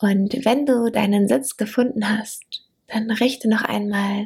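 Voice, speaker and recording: Very slowly, a woman speaks in a soothing, gentle tone at fairly high pitch, with vocal fry and ordinary pitch variation. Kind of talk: guided meditation. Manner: slow, soothing, gentle; warm, intimate, dreamy.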